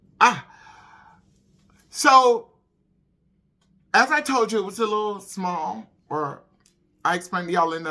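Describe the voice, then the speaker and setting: A woman speaks with a bright, sharp tone and very wide pitch swings. The recording is very clean, with a silent background. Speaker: holistic wellness vlogger and pastor. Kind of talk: casual chat.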